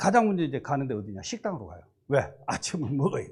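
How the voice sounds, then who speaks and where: A man speaks over a quiet background. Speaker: pastor. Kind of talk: sermon. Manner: fast; animated.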